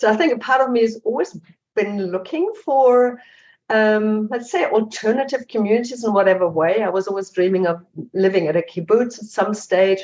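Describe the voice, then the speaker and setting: A woman speaks with a German accent at a moderate pace. Her pitch is fairly high, with ordinary variation. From Germany. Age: 50s. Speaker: investigative journalist and author. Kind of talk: interview. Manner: halting.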